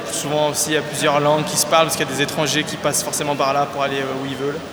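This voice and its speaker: Against noticeable background noise and audible room echo, a man with a fairly high pitch speaks with monotone, flat intonation. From France, Loire (near Saint-Étienne). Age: 20s. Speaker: city resident interviewee. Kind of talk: interview testimony. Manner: hesitant.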